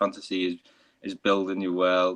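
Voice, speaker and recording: A man speaks in a strong Liverpool accent, the sound dry and close with no echo. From northern England, Liverpool. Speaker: fantasy author. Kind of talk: casual chat.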